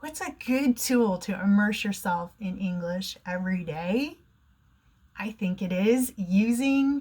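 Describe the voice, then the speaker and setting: In an American accent, a woman speaks at a medium pitch. Her voice is somewhat breathy. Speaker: online English teacher. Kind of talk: educational talk to camera.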